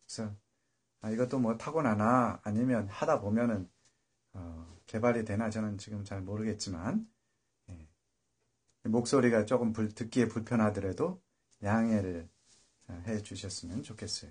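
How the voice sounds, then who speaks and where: A man's fairly low, somewhat breathy voice with big swings in loudness and long, frequent pauses. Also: ordinary pitch variation, moderate pace. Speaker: solo political commentary streamer. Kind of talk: casual monologue livestream. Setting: live internet stream. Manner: halting with many fillers.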